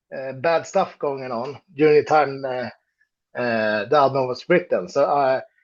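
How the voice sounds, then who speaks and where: With a Swedish accent, a man speaks at a fairly slow pace, his fairly high pitch showing ordinary variation. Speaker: metal band musician. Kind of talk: interview. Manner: halting, many fillers.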